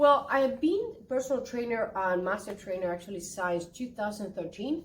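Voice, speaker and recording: A woman with a Spanish accent speaks at a moderate pace in an animated tone, her pitch fairly high. Her intonation is lively and her voice somewhat breathy. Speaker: interpreter and actress. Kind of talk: casual interview.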